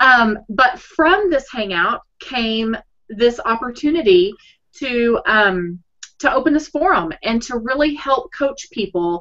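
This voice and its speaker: In a Texas accent, the voice moves in very wide pitch swings over a quiet background. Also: woman. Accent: Texas twang. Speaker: blogging coach. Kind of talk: casual chat. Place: home room. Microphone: webcam.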